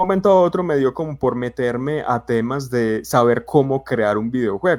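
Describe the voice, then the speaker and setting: A man speaks with an Antioquian accent at a moderate pace. His pitch is medium and his intonation lively. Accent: paisa (Antioquia) Colombian Spanish. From Colombia, Medellín (paisa). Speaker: BIM consultant, civil engineer. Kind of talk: casual podcast chat. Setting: live stream. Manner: hesitant, many fillers.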